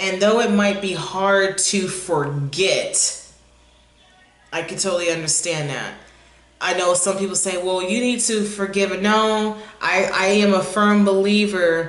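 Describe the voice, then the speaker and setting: At a fairly slow pace, a woman talks at medium pitch with fairly even intonation, amid audible room echo and noticeable background noise. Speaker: tarot reader. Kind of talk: intuitive tarot reading. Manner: occasional stammering.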